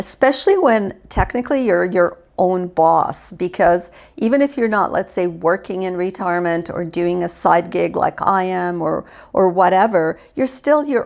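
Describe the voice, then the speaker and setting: There is a plain, everyday voice here, as a woman with a medium pitch speaks at a fairly slow pace on a very clean recording with a silent background. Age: 60s. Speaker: retiree and lifestyle vlogger. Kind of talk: casual talk to camera.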